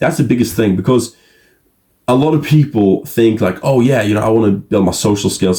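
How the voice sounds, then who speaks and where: Somewhat breathy and dark, mellow in tone, a man with a medium pitch talks at a fairly quick pace. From Norway. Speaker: social skills coach. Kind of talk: casual advice monologue. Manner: casual, filler-heavy.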